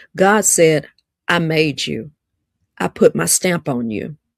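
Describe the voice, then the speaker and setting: A woman speaks in an Alabama accent with a very deep, low pitch and an animated tone. The recording is very clean and dry, close with no echo and a silent background. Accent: Southern (Alabama). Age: 50s. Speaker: live-stream host and relationship speaker. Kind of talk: livestream talk, preaching style. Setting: livestream on social media. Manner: animated, repetitive.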